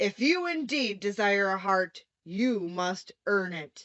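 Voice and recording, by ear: A woman uses a gruff, put-on character voice at a medium pitch. She speaks at a fairly slow pace.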